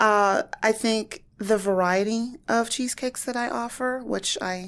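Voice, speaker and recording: Against a silent background in a very clean recording, a woman with an American accent speaks with ordinary pitch variation. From US Midwest, Warren, Ohio. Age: 40s. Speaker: small business owner, baker. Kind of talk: podcast interview.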